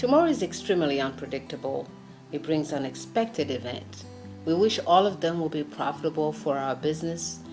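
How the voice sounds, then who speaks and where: Music plays behind the speech. A woman talks at a fairly quick pace. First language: not English. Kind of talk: speech rehearsal. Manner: fast.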